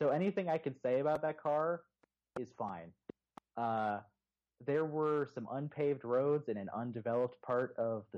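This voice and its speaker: Here is a man with a plain, everyday voice and a fairly high pitch. He talks at a moderate pace with ordinary pitch variation. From Texas, Houston. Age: 20s. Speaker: motoring journalist and podcaster. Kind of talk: casual chat.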